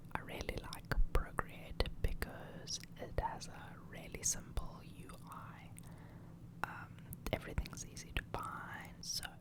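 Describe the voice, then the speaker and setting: Calm whispering at a very slow pace, with noticeable background noise. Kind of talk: ASMR drawing tutorial, whispered voice-over. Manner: whispered, soft, calm.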